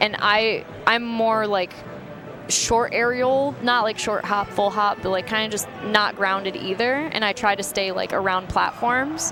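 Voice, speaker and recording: Music plays in the background as a woman speaks. Her pitch is fairly high and her pace fairly slow. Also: ordinary pitch variation. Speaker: esports commentator. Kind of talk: live commentary. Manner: halting.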